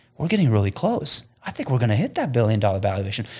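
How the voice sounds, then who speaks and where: Somewhat breathy speech comes very fast on a very clean recording with a silent background. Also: man. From Afghanistan. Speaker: insurance tech entrepreneur. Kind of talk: casual interview chat.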